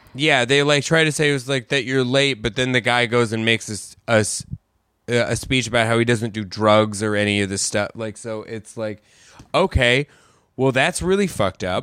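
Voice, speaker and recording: At a moderate pace, a man talks with a bright, sharp tone and ordinary pitch variation. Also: medium pitch for a man. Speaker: podcast host. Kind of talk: casual chat.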